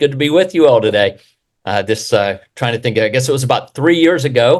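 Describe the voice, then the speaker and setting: A man talks at a medium pitch and a fairly quick pace. His intonation is lively. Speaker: real estate developer. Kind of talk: presentation. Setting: video call webinar. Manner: fast.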